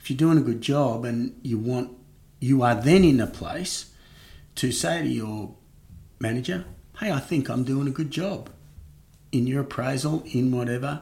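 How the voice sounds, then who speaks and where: A man's somewhat breathy, dark, mellow voice at a medium pitch in an Australian accent, with ordinary pitch variation, a moderate pace and long, frequent pauses. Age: 50s. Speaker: marketing executive. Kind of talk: interview.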